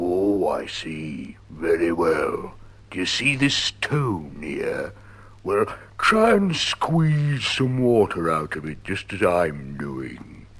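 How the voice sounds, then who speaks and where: Putting on a character voice, a man speaks very slowly at a fairly low pitch. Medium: read story. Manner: slow, dull.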